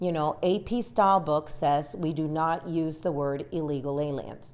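An ordinary speaking voice from a woman, fairly low in pitch, at a fairly slow pace with ordinary pitch variation. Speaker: TV news journalist. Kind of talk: interview.

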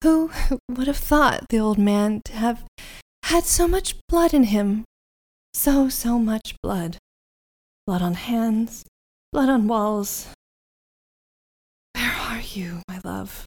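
Putting on a character voice, a woman speaks breathily at a very slow pace and fairly high pitch, with lively intonation and long, frequent pauses. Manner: eerie, dreamy, distracted.

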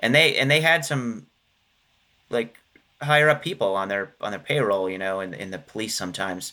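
A man with an American accent talks at a fairly quick pace and a medium pitch, with lively intonation. His tone is bright and sharp, and he takes long, frequent pauses. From western Pennsylvania, Johnstown. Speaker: author and historian. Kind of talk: interview.

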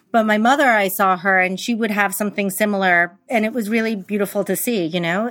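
A woman with an American accent speaks fairly quickly at medium pitch, with fairly even intonation and hardly any pauses. The recording is very clean, with a silent background. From New York. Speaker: interior designer. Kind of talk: interview conversation.

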